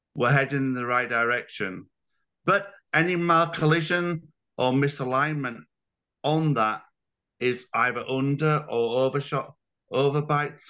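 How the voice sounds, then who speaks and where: A fairly high-pitched man with a British accent and a bright, sharp tone, fairly slow pace, long, frequent pauses, ordinary pitch variation and a quiet background. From UK. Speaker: dog breeder and show judge. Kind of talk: webinar roundtable discussion.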